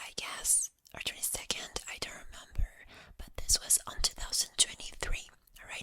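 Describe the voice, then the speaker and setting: Against noticeable background noise, a man whispers at a moderate pace with big swings in loudness. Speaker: ASMR creator. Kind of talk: ASMR ramble, whispered story time. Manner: soft, relaxed, rambling with hesitations.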